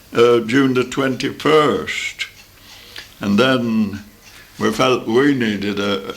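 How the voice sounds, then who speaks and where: There is noticeable background noise as a man speaks at a very slow pace. His pitch is medium. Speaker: grandfather recounting his autobiography. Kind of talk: memoir recollection. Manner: casual, reminiscing, with hesitations.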